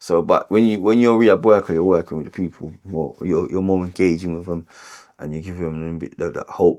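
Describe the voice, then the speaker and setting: The tone is dark and mellow, with fairly even intonation at a fairly quick pace. Loudness swings widely. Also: man, very deep, low pitch for a man. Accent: North London. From London (Tottenham, North London). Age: 40s. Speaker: homeless support worker and boxing coach in recovery. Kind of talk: interview testimony. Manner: hesitant, many fillers and repetitions.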